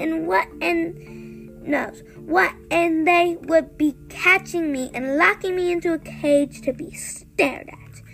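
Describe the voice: With faint music in the background, this put-on character voice goes at a slow pace, showing vocal fry, a fairly bright tone and fairly even intonation.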